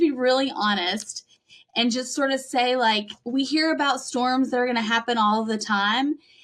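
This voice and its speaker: A woman's high-pitched voice, bright and sharp in tone, with ordinary pitch variation. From Western North Carolina (Cullowhee). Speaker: pastor. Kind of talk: podcast interview.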